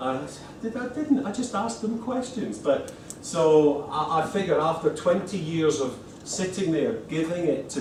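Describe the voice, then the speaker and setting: The speaker has a Scottish accent and a moderate pace, with audible room echo and noticeable background noise. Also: man. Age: 50s. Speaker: accounting lecturer and exam body representative. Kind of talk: presentation to lecturers. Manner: halting, many repetitions.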